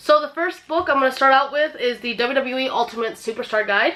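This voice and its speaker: A woman's raised, projected voice, high-pitched with a bright, sharp tone. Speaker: YouTuber. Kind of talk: casual vlog.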